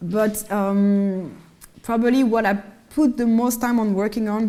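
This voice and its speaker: A woman in a French accent, with a dark, mellow tone and fairly even intonation. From France, Malian-French heritage. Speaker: singer and actress. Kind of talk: interview in lecture series. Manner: hesitant, with false starts.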